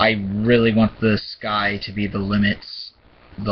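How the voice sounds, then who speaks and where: A man with a fairly low pitch speaks at a fairly slow pace in a flat monotone. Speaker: gaming vlogger. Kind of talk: casual monologue. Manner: stuttering, pausing.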